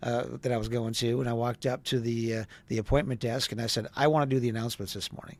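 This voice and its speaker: In a normal speaking voice with an American accent, a man of medium pitch talks at a fairly quick pace. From US Midwest, Wisconsin. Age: 60s. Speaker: travel industry professional and social media personality. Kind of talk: casual interview.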